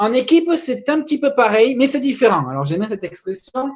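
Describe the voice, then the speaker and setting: A man's voice with very wide pitch swings. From southern France, Toulouse. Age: 20s. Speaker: network marketing presenter. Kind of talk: sales pitch. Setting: webinar.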